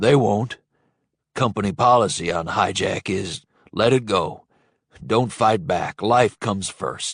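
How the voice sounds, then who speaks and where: A man uses a raspy, put-on character voice at a fairly slow pace. He leaves long, frequent pauses, and the sound is dry and close with no echo. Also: fairly low pitch for a man. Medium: read story. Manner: folksy, talkative.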